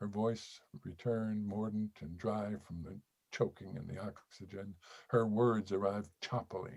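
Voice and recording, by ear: The background stays quiet while the text is read aloud in a natural voice.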